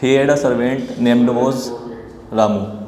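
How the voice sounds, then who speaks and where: Over noticeable background noise, a man speaks very slowly at medium pitch with monotone, flat intonation. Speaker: English learner. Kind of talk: story told in class. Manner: hesitant, halting.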